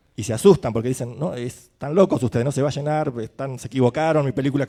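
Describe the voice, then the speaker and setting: A man speaks at medium pitch with a dark, mellow tone and ordinary pitch variation. His pace is very fast. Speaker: film festival programmer. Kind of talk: panel discussion. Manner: hesitant, many fillers.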